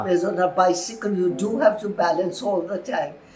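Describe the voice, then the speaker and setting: A woman at a medium pitch speaks at a moderate pace with music playing behind her. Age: 80s+. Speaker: former motorcyclist. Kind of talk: interview answer.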